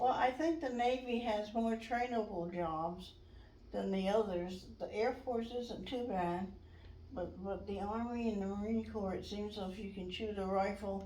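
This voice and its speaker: A woman with an American accent speaks at a fairly slow pace in a medium pitch with ordinary pitch variation. There is noticeable background noise and audible room echo. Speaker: navy veteran. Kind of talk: oral history interview.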